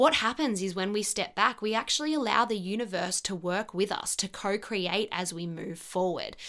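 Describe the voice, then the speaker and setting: An animated woman with an Australian accent, bright and sharp in tone, at a moderate pace with hardly any pauses. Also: medium pitch for a woman, ordinary pitch variation. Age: 30s. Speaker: podcast host. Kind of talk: casual monologue.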